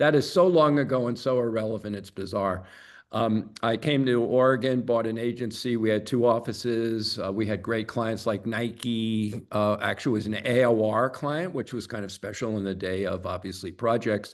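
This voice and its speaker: Pausing hardly at all, a man talks with a medium pitch and ordinary pitch variation. The background is quiet. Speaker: advertising agency consultant. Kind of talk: webinar presentation. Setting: video call. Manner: fast.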